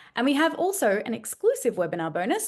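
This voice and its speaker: A woman is talking here. Her accent is Australian. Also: quiet background. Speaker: webinar host. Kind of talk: sales pitch. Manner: fast.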